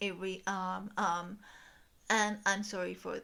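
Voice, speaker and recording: A woman's voice with a bright, sharp tone, on a very clean recording with a silent background. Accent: Spanish. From Mexico. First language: Spanish. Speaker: book YouTuber. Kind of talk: video essay / commentary. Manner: hesitant, many filler ums.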